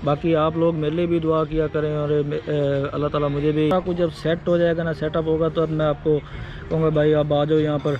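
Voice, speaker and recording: In a dry recording with no echo and light background noise, a man speaks at a moderate pace with monotone, flat intonation and very even loudness. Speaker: travel vlogger. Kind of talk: casual vlog chat. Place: cafe. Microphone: phone near.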